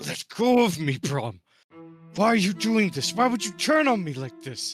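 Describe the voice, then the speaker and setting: A put-on character voice from a man, high in pitch, at a moderate pace over faint music in the background. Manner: mock yelling, held back quietly.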